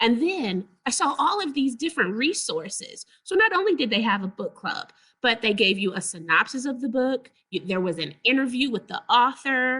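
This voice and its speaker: With an American accent, a woman speaks at a moderate pace in a high pitch, her tone bright and sharp and her pitch swinging very widely. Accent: Southern US accent, thick when excited. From Texas. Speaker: librarian presenter. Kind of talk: webinar presentation.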